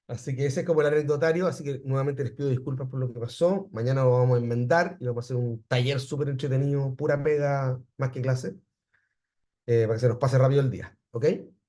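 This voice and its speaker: A man with a Chilean accent talks at a very fast pace and medium pitch. His voice is somewhat breathy, dark and mellow, with fairly even intonation. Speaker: university professor. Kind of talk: lecture. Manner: halting.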